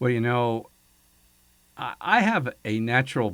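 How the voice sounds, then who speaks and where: An unremarkable speaking voice moves at a fairly slow pace in a very clean recording with a silent background. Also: man. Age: 60s. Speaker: radio host. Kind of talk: casual chat.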